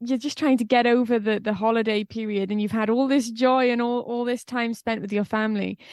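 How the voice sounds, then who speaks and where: A woman's fairly high voice with a Welsh accent, fairly quick and with hardly any pauses, in a monotone, flat intonation. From Wales. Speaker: singer-songwriter. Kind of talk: interview.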